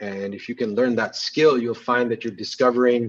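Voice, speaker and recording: A man at a medium pitch and moderate pace, with a plain, everyday voice. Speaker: photographer and magazine publisher; guest. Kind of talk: casual interview. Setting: video call. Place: home room. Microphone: video call.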